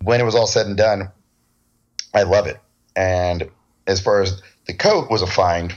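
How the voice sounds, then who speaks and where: Someone with an American accent talks at a fairly quick pace with fairly even intonation. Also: man. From US West Coast, San Diego. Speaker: cosplayer. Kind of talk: casual interview chat.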